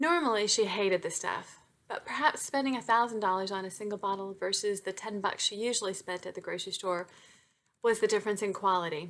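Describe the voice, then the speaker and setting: In a very clean recording with a silent background, a woman talks at a fairly quick pace, her medium pitch showing ordinary variation. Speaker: romance novelist. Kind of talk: reading aloud; casual chat. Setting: home webcam recording. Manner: fast.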